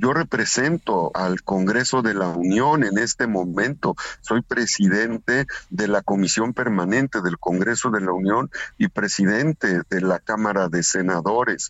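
Speaking in an ordinary speaking voice, a man with fairly low pitch talks at a fairly slow pace with ordinary pitch variation and very even loudness. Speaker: senator. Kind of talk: radio interview.

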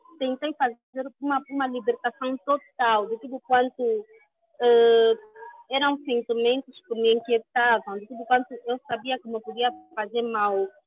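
A fairly slow pace with hardly any pauses, big swings in loudness, and monotone, flat intonation. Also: woman, high pitch for a woman. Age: 30s. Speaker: cancer survivor and activist. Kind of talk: interview. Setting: video call.

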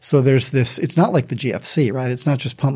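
Somewhat breathy and very fast, a man with an American accent speaks at a medium pitch on a very clean recording with a silent background. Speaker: economics professor. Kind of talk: panel discussion.

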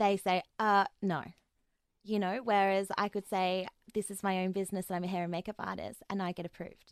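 At a fairly quick pace, someone speaks with an Australian accent and monotone, flat intonation in a dry, close sound with no echo. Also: woman, medium pitch for a woman. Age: 30s. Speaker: sex worker. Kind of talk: interview conversation. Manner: frequent fillers and hesitations.

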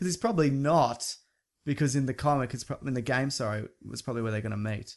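A man talks at a very fast pace in an Australian accent. The background is quiet. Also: medium pitch for a man, ordinary pitch variation. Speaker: podcast host, film news editor. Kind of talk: casual chat. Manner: laughs often.

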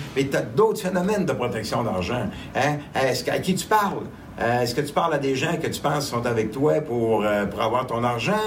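A man with a medium pitch talks at a moderate pace with very wide pitch swings, over noticeable background noise and audible room echo. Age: 60s. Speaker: angel investor. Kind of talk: interview.

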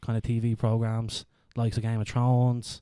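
With an Irish accent, a man of medium pitch speaks at a moderate pace in a dark, mellow tone, on a very clean recording with a silent background. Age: 30s. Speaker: podcast host. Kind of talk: casual chat.

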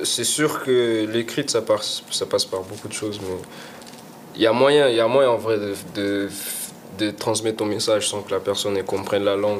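Over noticeable background noise, a man with a fairly low pitch speaks at a moderate pace with fairly even intonation and long, frequent pauses. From Portugal (Lisbon), Guinea-Bissau family, also Senegal and England. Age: 20s. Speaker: rapper. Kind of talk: casual interview. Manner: halting, many repetitions.

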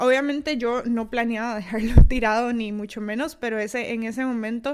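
Someone with a Costa Rican accent speaks at a moderate pace in a very clean recording with a silent background. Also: woman. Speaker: podcast host. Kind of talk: solo podcast monologue. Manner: halting, many fillers.

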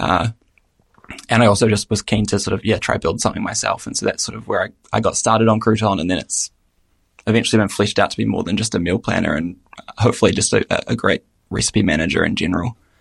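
A somewhat breathy voice at a very fast pace, dry and close with no echo. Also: man, fairly low pitch for a man. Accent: New Zealand. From New Zealand. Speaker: app developer. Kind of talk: casual interview.

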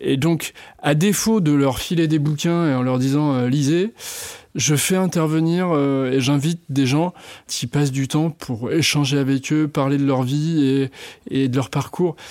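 A man with a plain, everyday voice talks at a fairly slow pace and fairly high pitch. His loudness stays very even, and his pitch varies in an ordinary way. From western France (Vendée). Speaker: director of a culinary trades school. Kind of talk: interview. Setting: studio, face to face.

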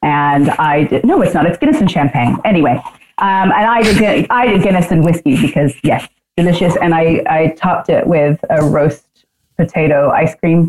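This is a normal speaking voice from a woman, fairly low in pitch with ordinary pitch variation. She keeps a moderate pace and very even loudness. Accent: American. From New Zealand and US. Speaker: whisky sales manager, former bartender. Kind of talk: casual chat.

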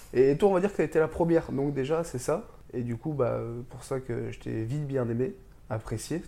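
At a moderate pace, a man speaks in a dark, mellow tone at medium pitch, with ordinary pitch variation and big swings in loudness. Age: 20s. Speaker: traveler. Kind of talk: casual chat.

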